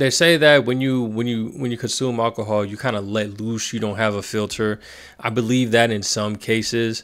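A man speaks at a moderate pace with fairly even intonation. The background is quiet. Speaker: reaction commentator. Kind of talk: casual commentary. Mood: reflective, earnest. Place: home room. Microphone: studio mic.

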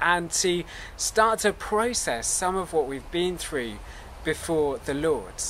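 Over light background noise, a man with a high pitch speaks at a fairly slow pace. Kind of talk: service welcome address. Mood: warm, calm, earnest. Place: garden.

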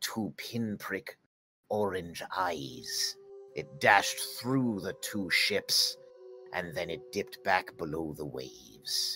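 A man's put-on character voice, fairly low in pitch and very slow, with faint music in the background. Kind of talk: archaic nautical pirate speech. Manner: brooding, grave storyteller.

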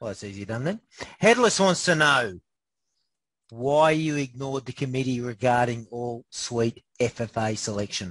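A man with an Australian accent at a fairly slow pace, with a dry, close sound with no echo and a quiet background. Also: medium pitch for a man, ordinary pitch variation. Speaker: interview host. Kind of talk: casual interview, joking.

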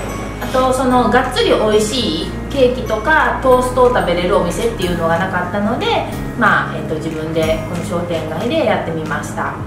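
Audible room echo and clear music sit behind a woman's voice. She talks with hardly any pauses. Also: moderate pace. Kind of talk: interview answer. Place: cafe. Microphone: camera far.

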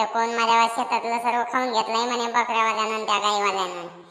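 A woman puts on a cartoonish character voice pitched fairly high. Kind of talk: rustic Marathi cartoon comedy. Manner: blunt, rambling, teasing.

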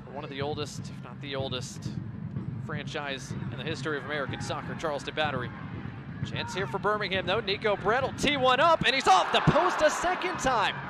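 There is noticeable background noise. A man speaks at a fairly quick pace over it. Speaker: soccer play-by-play commentator. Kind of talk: live sports commentary (play-by-play). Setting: stadium broadcast, match commentary.

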